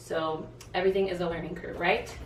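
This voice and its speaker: Audible room echo and noticeable background noise accompany a woman speaking at a moderate pace. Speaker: boutique owner and vlogger. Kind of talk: casual tutorial vlog. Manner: casual, filler-heavy.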